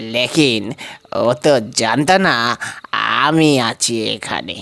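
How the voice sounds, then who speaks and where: A man's put-on character voice at medium pitch, with ordinary pitch variation. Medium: audio drama. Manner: fatherly, calls the ghost "mother" (ma); solemn, assured.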